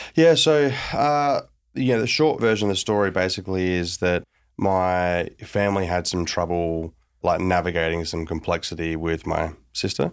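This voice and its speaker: A man with an Australian accent speaks at a moderate pace in a very deep, low pitch with lively intonation. The recording is very clean, with a silent background. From Australia, small town. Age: 30s. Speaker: tech founder and investor. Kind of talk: interview.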